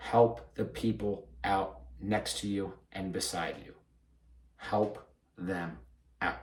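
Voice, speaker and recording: A man with a fairly low, somewhat breathy voice talks with fairly even intonation, big swings in loudness, and long, frequent pauses. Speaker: podcast host and fitness professional. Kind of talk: solo podcast monologue. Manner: fast; mumbling at times.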